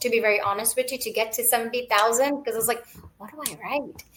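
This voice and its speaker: Speaking in a Gujarati accent, a woman uses a high voice and fairly even intonation. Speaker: author and clinical scientist. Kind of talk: interview.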